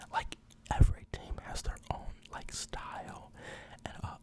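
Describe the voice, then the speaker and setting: Someone whispers at a moderate pace with noticeable background noise. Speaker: ASMR creator. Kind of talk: ASMR football commentary, casual talk. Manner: whispered, soft-spoken.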